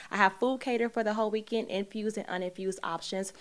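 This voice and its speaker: A woman with a fairly high pitch talks with fairly even intonation in an American accent. Hers is an unremarkable speaking voice. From Chicago. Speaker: podcast host. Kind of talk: interview. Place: studio. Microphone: studio mic.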